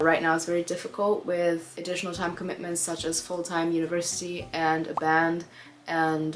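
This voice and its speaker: A woman talks at a moderate pace with a fairly low pitch and flat, monotone intonation. Noticeable background noise can be heard behind her. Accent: German. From Germany, Hamburg. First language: German. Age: 20s. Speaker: singer and content creator. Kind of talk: Q&A talk to camera.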